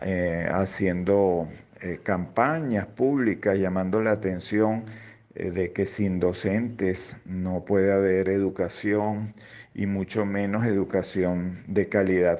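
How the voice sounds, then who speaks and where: Speaking at a very slow pace, the man has a fairly low pitch, a dark, mellow tone and fairly even intonation. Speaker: educator and children's rights advocate. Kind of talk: radio interview. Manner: halting, many fillers.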